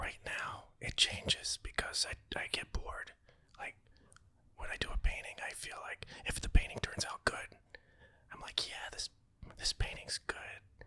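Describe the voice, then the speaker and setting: A man whispers with long, frequent pauses and big swings in loudness over noticeable background noise. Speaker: artist, voice actor. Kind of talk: interview answer. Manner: whispered.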